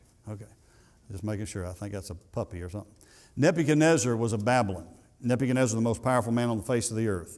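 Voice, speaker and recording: A man with a Southern US accent talks at a very fast pace. His medium-pitched voice has ordinary pitch variation on a very clean recording with a silent background. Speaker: pastor. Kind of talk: sermon.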